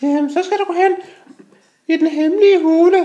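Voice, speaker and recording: The cartoonish character voice sits at an extremely high pitch and sounds squeaky. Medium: puppet show.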